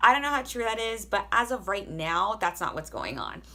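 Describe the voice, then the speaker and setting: A loud, bright, sharp female voice with vocal fry, lively intonation and an animated tone, at a fairly quick pace, in a very clean recording with a silent background. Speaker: army soldier and vlogger. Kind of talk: casual advice vlog.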